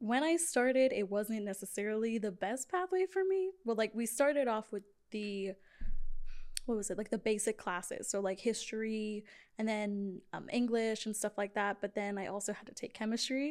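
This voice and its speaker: On a very clean recording with a silent background, a woman with an American accent uses an ordinary speaking voice, fairly high in pitch, with ordinary pitch variation at a moderate pace. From Georgia, US South (Sandy Springs). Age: 20s. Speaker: event coordinator. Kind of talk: casual chat.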